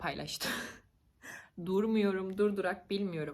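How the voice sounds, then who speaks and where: Fairly slow in pace, a woman speaks in an animated tone. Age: 20s. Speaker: YouTuber. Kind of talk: casual vlog monologue.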